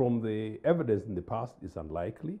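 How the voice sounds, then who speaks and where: A man talks at a moderate pace. His pitch is fairly low and swings very widely. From Uganda. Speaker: political analyst. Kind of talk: studio panel discussion. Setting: studio. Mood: critical, analytical. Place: studio. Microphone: lapel.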